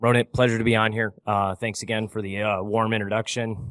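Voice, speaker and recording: Over a quiet background, a man with an American accent speaks at a moderate pace and a fairly low pitch, his intonation monotone and flat in a dry, close sound with no echo. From US Midwest, Michigan. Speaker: finance podcaster. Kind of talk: interview conversation.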